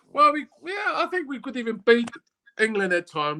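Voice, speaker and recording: A man uses a raised, projected voice. The sound is dry and close, with no echo. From Switzerland. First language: German. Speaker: former professional footballer. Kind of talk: casual interview.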